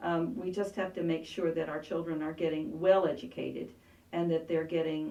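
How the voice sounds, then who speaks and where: A woman with an unremarkable speaking voice, fairly low pitch, fairly even intonation and a moderate pace. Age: 60s. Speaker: congressional candidate and art teacher. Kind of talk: interview.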